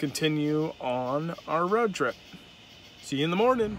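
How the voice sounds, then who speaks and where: Very wide pitch swings at a fairly slow pace, with light background noise and a dry sound with no echo. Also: man. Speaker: car vlogger. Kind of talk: casual vlog chat. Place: car. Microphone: phone near.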